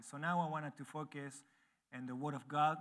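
Speaking at a moderate pace with an Argentine accent, the man has a fairly high voice and fairly even intonation. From Argentina. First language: Spanish. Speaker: missionary church planter preaching as visiting speaker. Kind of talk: sermon. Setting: church. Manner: halting, non-native phrasing.

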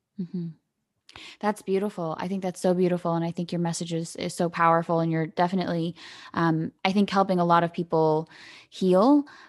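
Over a quiet background, a woman with an ordinary speaking voice talks at a fairly quick pace and fairly low pitch, her sound dry and close with no echo. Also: fairly even intonation. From Canada. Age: 20s. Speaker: podcast host. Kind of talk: casual chat.

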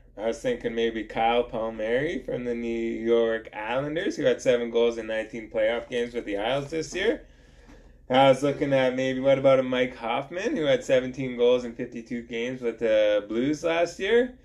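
A man with an unremarkable speaking voice of medium pitch talks at a moderate pace with ordinary pitch variation. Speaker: hockey podcast host. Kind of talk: casual chat.

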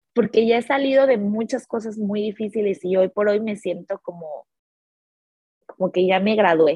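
Ordinary pitch variation shapes a woman's somewhat breathy speech. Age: 30s. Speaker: life coach. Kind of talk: casual chat. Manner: animated.

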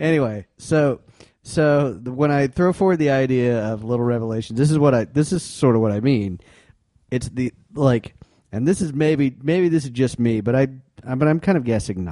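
A man's normal speaking voice at a medium pitch, with lively intonation and a moderate pace. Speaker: podcast co-host.

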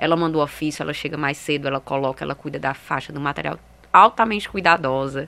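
Her pace is very fast and her pitch very deep and low for a woman. The woman's tone is bright and sharp, with ordinary pitch variation. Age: 30s. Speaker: women's football projects coordinator and fan group president. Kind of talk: interview. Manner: halting.

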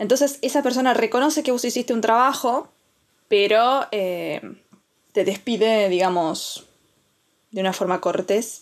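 This woman's voice is fairly high and shows ordinary pitch variation. She talks fairly slowly, with long, frequent pauses. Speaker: podcast co-host. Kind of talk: casual chat.

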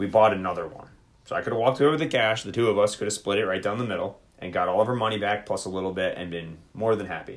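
Very fast speech from a man with a fairly low pitch. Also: ordinary pitch variation. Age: 30s. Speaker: podcast co-host and army soldier. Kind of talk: casual chat. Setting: live stream on social video app.

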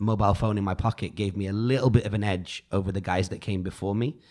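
In a very clean recording with a silent background, a man with an unremarkable speaking voice and fairly low pitch talks at a fairly quick pace. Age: 40s. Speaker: podcast host and DJ. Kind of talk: casual chat.

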